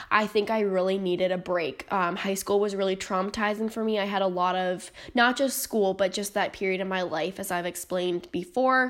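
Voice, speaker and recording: Speaking at a fairly quick pace with hardly any pauses, a woman of medium pitch has an unremarkable speaking voice and fairly even intonation. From North Carolina. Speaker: nursing student, podcast host. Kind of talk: personal monologue podcast. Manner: many filler ums, casual.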